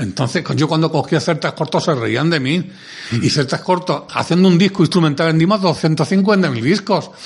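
With a strong Andalusian accent, a man speaks at a fairly high pitch and ordinary pitch variation. Hardly any pauses break his speech. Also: moderate pace. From Andalusia, Córdoba. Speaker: music industry executive. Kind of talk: interview. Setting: studio.

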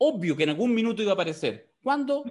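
The voice has a Chilean accent and very wide pitch swings. It moves at a fairly quick pace. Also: man. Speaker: podcast co-host. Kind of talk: casual political chat.

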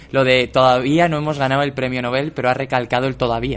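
Speaking at a medium pitch, a man keeps a monotone, flat intonation. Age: 20s. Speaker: podcast co-host, writer. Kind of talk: casual chat.

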